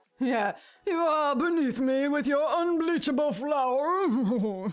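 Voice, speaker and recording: High pitch in a put-on character voice, delivered at a fairly slow pace. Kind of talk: posh. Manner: snobbish, disdainful.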